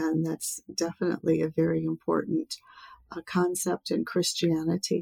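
The sound is dry and close with no echo as a woman with an American accent speaks at a fairly slow pace. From US. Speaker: public speaker and environmentalist. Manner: soft-spoken, gentle.

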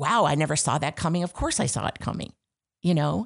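A woman with an American accent speaks in a very deep, low voice with vocal fry. The background is quiet. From upstate New York (Syracuse area). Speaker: voice and acting coach. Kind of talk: casual interview.

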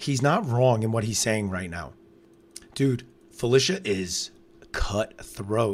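Loud, very slow speech with long, frequent pauses and lively intonation. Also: man, medium pitch for a man. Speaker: reality TV podcast co-host. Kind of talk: casual live-stream recap chat.

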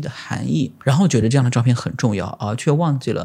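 The speaker is a man with a medium pitch and ordinary pitch variation. His voice is somewhat breathy. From China, Zhejiang (Lishui). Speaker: photographer. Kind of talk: casual interview chat.

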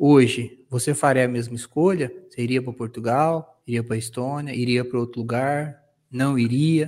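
The man keeps a moderate pace, medium pitch and fairly even intonation in a plain, everyday voice. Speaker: podcast co-host, lawyer. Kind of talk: casual chat.

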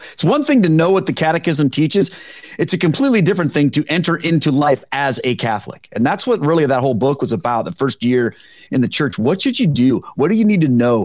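A man's fairly high voice, very fast and animated in tone. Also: lively intonation. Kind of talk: casual podcast interview. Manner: animated, humorous.

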